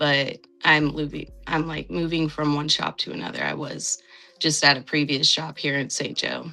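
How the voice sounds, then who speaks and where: A woman talks at a moderate pace with a very deep, low pitch. Her pitch varies in an ordinary way over noticeable background noise. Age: 30s. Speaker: tattoo artist. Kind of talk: casual chat.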